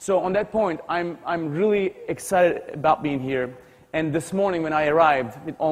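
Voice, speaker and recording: Speaking at a fairly quick pace in a Turkish accent, the voice shows ordinary pitch variation over noticeable background noise. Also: man. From Turkey, Istanbul. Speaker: tech company CEO, speaker. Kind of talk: motivational keynote speech. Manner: energetic.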